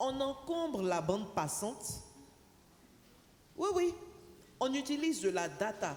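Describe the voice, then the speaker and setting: A woman with a high voice speaks very slowly, with very wide pitch swings, very even loudness and long, frequent pauses, in a room with audible echo and noticeable background noise. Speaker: panelist representing telecom operators. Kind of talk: conference panel talk. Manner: deliberately slow.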